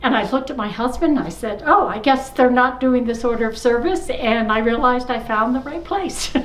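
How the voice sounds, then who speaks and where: A woman with a high pitch speaks at a fairly quick pace, her pitch variation ordinary. Room echo is audible, and background noise is noticeable. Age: 70s. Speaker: church member. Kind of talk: testimony. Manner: halting.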